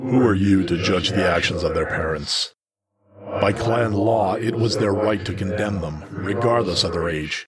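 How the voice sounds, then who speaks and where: A man's growling, put-on character voice, fairly low in pitch, at a moderate pace. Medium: read story. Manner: measured, stern, probing.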